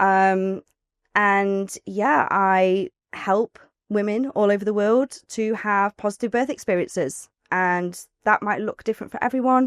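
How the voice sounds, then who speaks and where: Dry and close, the sound has no echo. Delivery is fairly slow. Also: woman, medium pitch for a woman. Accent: East Midlands. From Nottingham, England. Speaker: birth doula and author. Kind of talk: casual podcast interview. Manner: animated.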